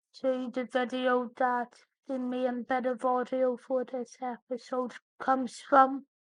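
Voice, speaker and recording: In a Northern Irish accent, the speaker talks at a very slow pace with monotone, flat intonation. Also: woman. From Northern Ireland. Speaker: tech podcast host. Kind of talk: scripted podcast narration.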